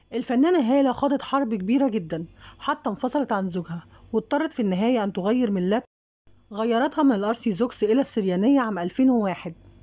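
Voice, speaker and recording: A woman with an Egyptian accent speaks at a moderate pace in a fairly high pitch, her dark, mellow tone carried by lively intonation. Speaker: celebrity news YouTuber. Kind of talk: scripted narration.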